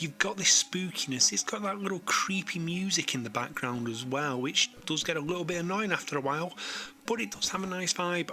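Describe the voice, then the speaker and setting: Fairly quick pace against noticeable background noise. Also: man, high pitch for a man. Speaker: retro games reviewer. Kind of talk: game review narration. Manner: casual, conversational.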